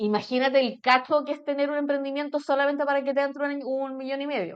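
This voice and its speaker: The voice has an animated tone and a Chilean accent. It races along at a very fast pace. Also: woman, high pitch for a woman. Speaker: mentor. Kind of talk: casual chat.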